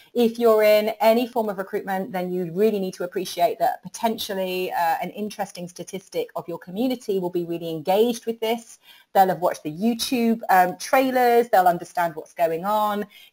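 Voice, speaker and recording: With a British accent and a dark, mellow tone, the speaker moves at a fairly quick pace. There are hardly any pauses, and the pitch varies in an ordinary way. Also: woman, medium pitch for a woman. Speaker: recruitment marketing trainer. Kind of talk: webinar presentation. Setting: online webinar. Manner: fast; animated.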